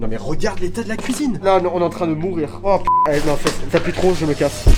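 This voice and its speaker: A man at a high pitch talking at a very fast pace, music in the background. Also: lively intonation. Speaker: urban explorer. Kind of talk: casual chat.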